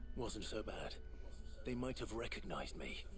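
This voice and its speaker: A man performs a put-on character voice. He speaks at a moderate pace over loud background noise. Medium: short film. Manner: terse, guarded.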